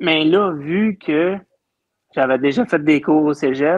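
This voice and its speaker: The speaker has a Quebec accent. The pace is very slow. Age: 40s. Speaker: dairy farmer. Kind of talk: casual chat.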